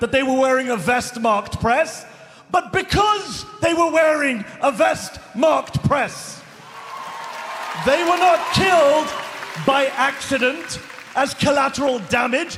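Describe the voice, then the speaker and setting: Over crowd noise, a man with an extremely high pitch speaks at a fairly slow pace, his loudness very even and his intonation lively. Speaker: journalist. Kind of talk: live rally speech. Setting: large arena with live audience. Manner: emotional, impassioned.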